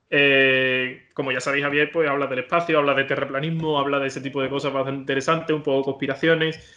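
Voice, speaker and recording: A man at a fairly high pitch, with monotone, flat intonation, a fairly quick pace, and hardly any pauses. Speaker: podcast host. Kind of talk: casual interview.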